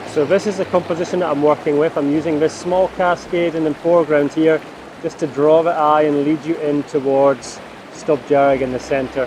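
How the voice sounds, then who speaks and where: Noticeable background noise sits behind a man's fairly high voice. He talks at a moderate pace. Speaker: landscape photographer. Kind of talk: vlog narration. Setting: outdoors. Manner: excited shouting.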